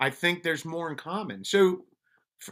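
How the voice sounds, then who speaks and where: In a New York accent, a man speaks at a moderate pace with a bright, sharp tone on a very clean recording with a silent background. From Colombia, then Brooklyn, New York. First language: Spanish. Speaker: police officer and mental wellness advocate. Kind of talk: casual interview chat. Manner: halting, many restarts.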